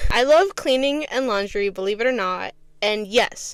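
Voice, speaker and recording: A woman speaks at a moderate pace in a high voice. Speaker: podcast host. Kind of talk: scripted reading; casual unscripted chat. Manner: halting.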